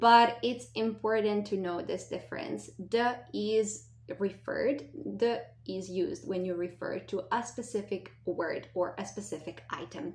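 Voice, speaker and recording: A woman with a non-native accent, speaking at a fairly slow pace. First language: not English. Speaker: language teacher. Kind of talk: lesson.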